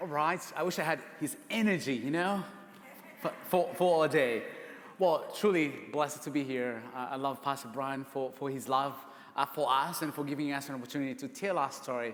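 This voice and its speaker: Fairly high-pitched male speech at a moderate pace, ordinary pitch variation, noticeable background noise behind it. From Uganda. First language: Ugandan language. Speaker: speaker, adoptive father. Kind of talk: testimony.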